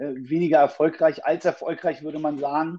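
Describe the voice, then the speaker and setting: Flat and monotone, a man talks at a fairly quick pace in a fairly high voice. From Berlin, Germany. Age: 30s. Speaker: fitness coach. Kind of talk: podcast interview.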